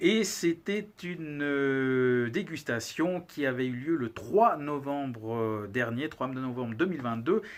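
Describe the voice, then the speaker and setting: In a Valais accent, a man with a fairly high pitch speaks at a very slow pace with lively intonation and hardly any pauses. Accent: Valais (Swiss French). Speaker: cigar reviewer, channel host. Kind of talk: casual video monologue, product review. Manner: hesitant, many filler words.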